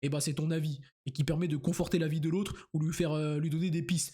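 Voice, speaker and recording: On a very clean recording with a silent background, a man talks very fast at a fairly high pitch with fairly even intonation and a dark, mellow tone. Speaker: youtuber. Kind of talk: casual vlog monologue. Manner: halting, repeats words.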